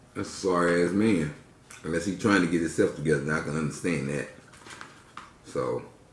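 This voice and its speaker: With audible room echo and light background noise, a man speaks in a very deep, low voice with ordinary pitch variation. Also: fairly quick pace. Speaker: vlogger. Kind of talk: casual vlog chat while eating. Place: home room. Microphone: phone near.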